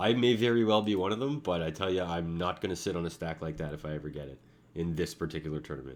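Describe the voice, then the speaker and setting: A man mumbles at a very fast pace in a very deep, low pitch. His intonation is lively. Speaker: online poker player streaming. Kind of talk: casual live commentary while playing. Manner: mumbling; uneven volume.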